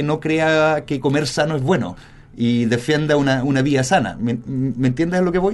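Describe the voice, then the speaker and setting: A man talks in a normal speaking voice at a moderate pace, his pitch fairly high. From Germany and Spain. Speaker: media specialist. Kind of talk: casual interview.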